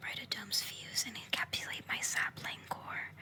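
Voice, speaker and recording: Whispered words come at a moderate speed through noticeable background noise. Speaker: ASMR creator. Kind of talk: poetry reading. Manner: whispered, soft-spoken.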